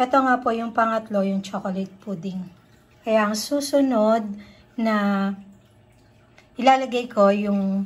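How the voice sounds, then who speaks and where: A woman speaks at a fairly slow pace in a somewhat breathy voice with fairly even intonation. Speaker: cooking vlogger. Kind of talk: cooking tutorial. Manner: casual, with fillers and restarts.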